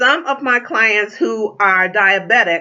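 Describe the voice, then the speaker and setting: The woman's voice sits at a medium pitch. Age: 60s. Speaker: tea distributor. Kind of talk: sales pitch. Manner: casual, with many fillers.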